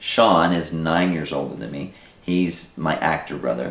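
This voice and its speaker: Over noticeable background noise and audible room echo, a man with a very deep, low voice speaks at a fairly slow pace with ordinary pitch variation. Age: 40s. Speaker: filmmaker. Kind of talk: interview.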